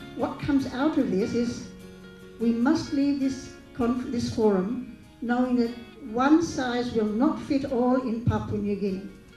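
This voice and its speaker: A woman speaks at a high pitch and a fairly slow pace, with ordinary pitch variation. Audible room echo and faint music sit in the background. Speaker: speaker. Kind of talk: panel discussion remarks. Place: hall. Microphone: handheld.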